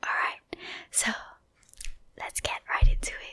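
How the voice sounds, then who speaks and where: Over noticeable background noise, a person is whispering. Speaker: dentist. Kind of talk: ASMR educational talk. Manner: whispered.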